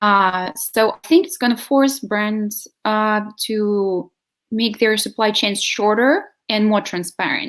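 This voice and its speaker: A woman speaks at a very slow pace with fairly high pitch and ordinary pitch variation on a very clean recording with a silent background. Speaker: sustainable living advocate. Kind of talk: video interview.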